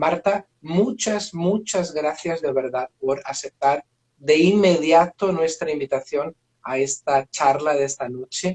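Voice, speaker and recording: A man with a Portuguese accent, fairly high in pitch, at a very slow pace. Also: dry, close sound with no echo. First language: Portuguese (speaking Spanish). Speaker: professor, moderator. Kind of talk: live online talk introduction. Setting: video livestream. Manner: slow, halting with fillers.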